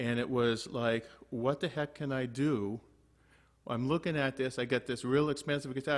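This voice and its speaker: A man speaks in an ordinary speaking voice. His pitch is medium and his pace moderate. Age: 60s. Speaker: guitar teacher. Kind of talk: online group lesson with anecdote. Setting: video call. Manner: casual, many fillers.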